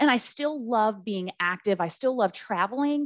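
Against a quiet background, a woman with a plain, everyday voice speaks with lively intonation. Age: 40s. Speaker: ovarian cancer survivor. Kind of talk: interview testimony.

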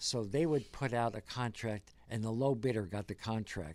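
A man with an American accent and an unremarkable speaking voice talks at a fairly slow pace in a medium pitch. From rural New Jersey. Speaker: navy veteran and museum volunteer. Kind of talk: interview.

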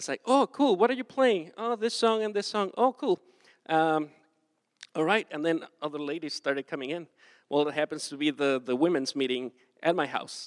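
Recorded very cleanly with a silent background and a dry, close sound with no echo, a man with a Spanish accent speaks at a moderate pace, his fairly high pitch making very wide swings. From southern Mexico (Acapulco). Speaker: pastor. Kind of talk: sermon.

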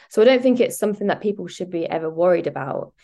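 A woman uses a plain, everyday voice at a medium pitch with lively intonation. The background is quiet. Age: 20s. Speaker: private chef. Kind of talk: interview.

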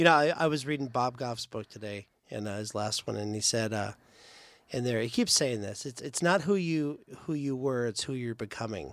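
In a very clean recording with a silent background, a man with medium pitch talks at a moderate pace with lively intonation in an unremarkable speaking voice. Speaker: church podcast host. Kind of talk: casual chat. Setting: studio.

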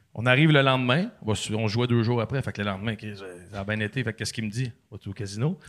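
A man of medium pitch for a man talks at a very fast pace with ordinary pitch variation on a very clean recording with a silent background. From Quebec, Sainte-Catherine. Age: 30s. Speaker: former hockey player and podcaster. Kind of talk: casual chat.

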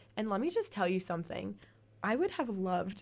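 A normal speaking voice from a woman at medium pitch, at a fairly quick pace. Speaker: college radio host. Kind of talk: casual chat. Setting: studio.

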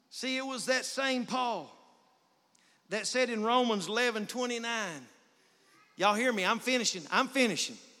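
At a moderate pace and with long, frequent pauses, a man speaks in a raised, projected voice of extremely high pitch with a bright, sharp tone and ordinary pitch variation. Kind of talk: preacher prayer at an altar call, closing a sermon. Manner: fervent, urgent, pleading, building to a climax.

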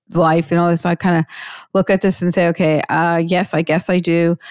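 The woman talks at a fairly quick pace in a fairly low pitch. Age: 60s. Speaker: podcast host, financial advisor. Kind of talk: interview chat.

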